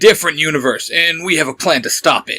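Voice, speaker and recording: A put-on character voice rattles along at a very fast pace. The sound is dry and close, with no echo. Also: man. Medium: read story. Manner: stern, curt.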